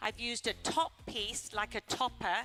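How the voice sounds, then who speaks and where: Music plays behind a voice speaking at a moderate pace. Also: woman. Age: 60s. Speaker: hair colorist. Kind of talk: live demo presentation.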